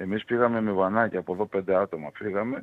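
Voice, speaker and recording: His delivery comes at a moderate pace. The man's intonation is fairly even throughout. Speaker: football fan. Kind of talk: interview.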